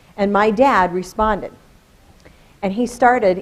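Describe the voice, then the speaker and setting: A woman at medium pitch with lively intonation and a fairly slow pace. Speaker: education specialist and presenter. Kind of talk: conference presentation. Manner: loud. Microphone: holds microphone far away.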